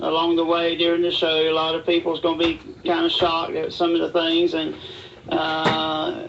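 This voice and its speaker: Noticeable background noise runs under the recording. A man with an American accent speaks at a moderate pace in a high voice. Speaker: amateur wrestler and event promoter. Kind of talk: radio interview.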